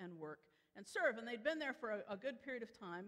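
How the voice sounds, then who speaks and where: Over a quiet background, a woman with an American accent speaks with lively intonation. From Chicago area, US Midwest; Illinois. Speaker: preacher. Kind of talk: sermon. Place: church.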